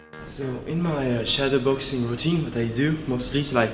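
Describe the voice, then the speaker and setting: A man speaks with fairly even intonation while clear music plays in the background. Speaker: martial arts coach. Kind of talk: tutorial. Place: gym.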